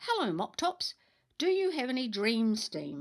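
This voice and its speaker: Here a woman uses a put-on character voice. Her pitch is high. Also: moderate pace. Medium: read story.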